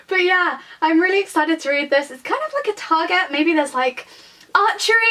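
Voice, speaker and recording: A woman with a British accent speaks in a raised, projected voice at an extremely high pitch, her intonation lively. Noticeable background noise is present. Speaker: book vlogger. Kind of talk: casual vlog chat. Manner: fast; animated.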